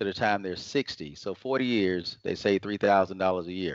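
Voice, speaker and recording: A man speaks in an ordinary speaking voice at a fairly low pitch. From US South, Atlanta, Georgia. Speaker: financial advisor. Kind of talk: interview, explaining finances.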